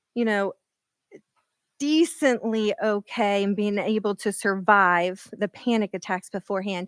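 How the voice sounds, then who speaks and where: A shaky woman's voice at a moderate pace, dry and close with no echo, on a very clean recording with a silent background. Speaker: keynote speaker, scientist. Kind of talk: keynote speech. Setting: stage with audience, at a podium. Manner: halting; quivering voice.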